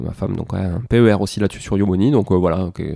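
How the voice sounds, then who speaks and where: A man's fairly low voice with a dark, mellow tone, fairly quick pace and fairly even intonation, on a very clean recording with a silent background and a dry, close sound with no echo. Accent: southern French. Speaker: podcast host, property investor and author. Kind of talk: solo podcast recap. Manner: hesitant, many fillers.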